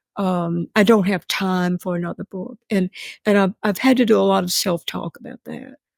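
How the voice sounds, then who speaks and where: A woman with a Mississippi accent speaks at medium pitch and a moderate pace, with ordinary pitch variation and big swings in loudness. The sound is dry and close with no echo, in a very clean recording with a silent background. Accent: Southern US (Mississippi). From US South. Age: 80s+. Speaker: novelist. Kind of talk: interview. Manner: halting.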